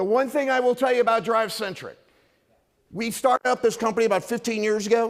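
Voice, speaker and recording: The voice is loud and comes at a very fast pace. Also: man. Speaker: company presenter at industry event. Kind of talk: conference presentation. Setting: stage with audience. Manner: energetic, hyped up.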